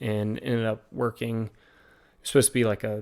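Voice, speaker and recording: A man speaks with a Southern US accent at a medium pitch. His intonation stays fairly even. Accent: American with Southern drawl. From Virginia, US South. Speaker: podcast guest, former college football player. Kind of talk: casual interview chat. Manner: hesitant, many fillers.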